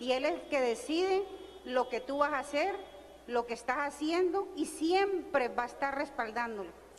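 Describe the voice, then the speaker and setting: A woman talks at a moderate pace with a high pitch and lively intonation, and there is noticeable background noise. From Colombia (Barranquilla). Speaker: audience member. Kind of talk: audience question. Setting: audience at live event.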